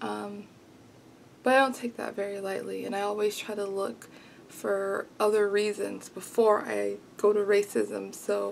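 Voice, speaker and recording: A soft-spoken woman at a fairly slow pace. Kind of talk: casual talk to camera. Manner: soft-spoken, quiet.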